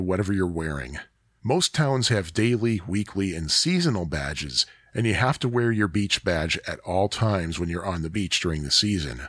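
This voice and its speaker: In an American accent, a man with a fairly low pitch talks with lively intonation. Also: very clean recording, silent background. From US Midwest, Chicago area. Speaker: podcaster. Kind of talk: solo autobiographical monologue. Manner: casual, chatty.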